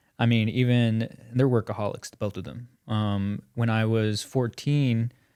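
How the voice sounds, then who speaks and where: Fairly even intonation marks a man speaking at a fairly slow pace and medium pitch, with a dark, mellow tone. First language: bilingual Spanish and English. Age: 20s. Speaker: community podcast guest. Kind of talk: casual chat. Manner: halting, many fillers.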